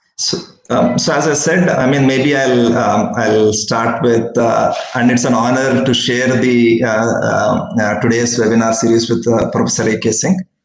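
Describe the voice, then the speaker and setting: The speech moves at a fairly slow pace, with audible room echo and light background noise. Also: man. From India. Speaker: dairy startup founder. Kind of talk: webinar presentation. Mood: warm and smiling. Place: office. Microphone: video call.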